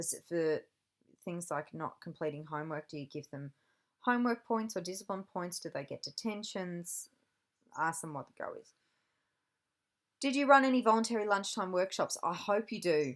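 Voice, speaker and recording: With an Australian accent, the speaker uses lively intonation at a moderate pace, leaving long, frequent pauses. Loudness swings widely in this very clean recording with a silent background. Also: woman, medium pitch for a woman. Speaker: university lecturer in teacher education. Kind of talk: recorded lecture.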